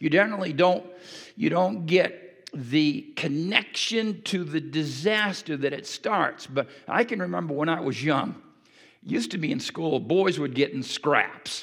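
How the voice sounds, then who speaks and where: The intonation is lively. The pace is fairly slow. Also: man, high pitch for a man. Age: 60s. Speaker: pastor. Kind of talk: sermon. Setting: church.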